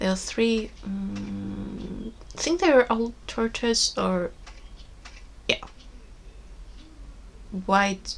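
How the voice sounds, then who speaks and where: A woman speaks at a very slow pace with long, frequent pauses. Noticeable background noise is present. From Iceland. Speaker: knitting podcaster. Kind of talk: casual talk to camera.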